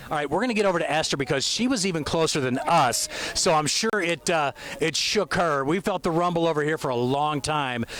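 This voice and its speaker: A man with an American accent, fairly high in pitch and lively in intonation, at a fairly quick pace and very even loudness, over noticeable background noise. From United States. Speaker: TV news reporter. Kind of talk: live field report interviews. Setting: outdoors at launch site.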